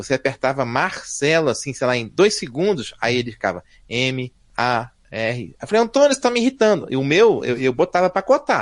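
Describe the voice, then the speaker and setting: A man talks at a fairly high pitch and a moderate pace. His tone is animated, with very wide pitch swings. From Brazil, Rio de Janeiro. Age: 50s. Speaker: software developer. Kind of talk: casual chat.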